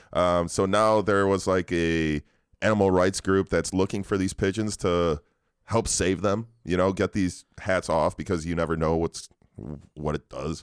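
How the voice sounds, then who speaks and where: In a very deep, low pitch, a man talks at a fairly slow pace with fairly even intonation. The recording is very clean, with a silent background. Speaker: podcast co-host. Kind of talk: casual banter. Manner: joking, laughs often.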